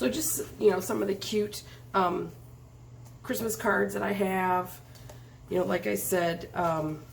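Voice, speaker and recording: Amid audible room echo, a woman with a fairly low pitch talks at a fairly slow pace with lively intonation. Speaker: craft video host. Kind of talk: tutorial. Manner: hesitant, many fillers.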